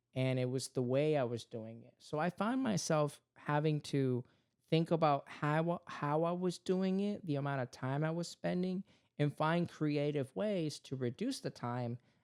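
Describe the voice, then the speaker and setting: Speaking with a Spanish accent at a fairly slow pace, this man has a fairly high pitch and ordinary pitch variation, recorded very cleanly against a silent background with a dry, close sound and no echo. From Puerto Rico. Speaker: podcast host and father. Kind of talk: casual family chat.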